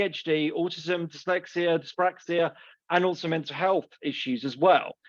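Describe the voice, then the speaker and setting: At a moderate pace, a man with a southern English accent speaks over a quiet background. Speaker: assistive technology trainer. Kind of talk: presentation.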